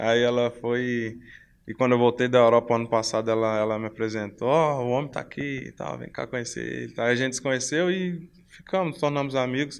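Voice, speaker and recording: Pitch moves in a normal way. The speech runs fairly quick. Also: man. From Brazil, São Paulo (moved from Belo Horizonte at 12). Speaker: professional footballer; interviewee. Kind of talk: interview; interview answer. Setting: hotel. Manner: halting, repeats words. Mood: relaxed, friendly. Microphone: handheld.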